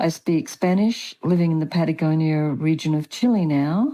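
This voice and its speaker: Speaking at a fairly slow pace, a woman has a fairly low pitch and a dark, mellow tone with ordinary pitch variation. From Australia. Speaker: author and spiritual teacher. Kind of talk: interview.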